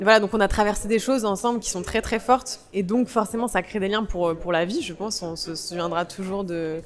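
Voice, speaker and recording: A woman at a fairly quick pace, her intonation fairly even. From Provence, France. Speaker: actress. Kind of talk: interview. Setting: festival interview. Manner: hesitant, many fillers.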